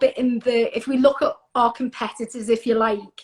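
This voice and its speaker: A woman speaks at a moderate pace with a Liverpool accent. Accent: Scouse. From Liverpool, northern England. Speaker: skincare brand representative. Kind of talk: casual interview.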